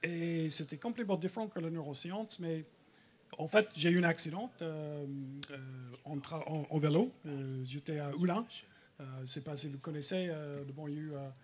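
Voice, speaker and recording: With a slight American accent, a man speaks at a fairly high pitch with ordinary pitch variation and long, frequent pauses. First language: English (speaking French). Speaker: researcher. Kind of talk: public talk. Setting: stage with audience. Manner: halting, many fillers.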